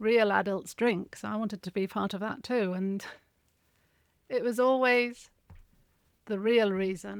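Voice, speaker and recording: A woman speaks at medium pitch in a monotone, flat way. The recording is very clean, with a silent background and a dry, close sound with no echo. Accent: English. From Spain, English mother. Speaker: alcohol freedom coach and writer. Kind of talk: interview, personal story.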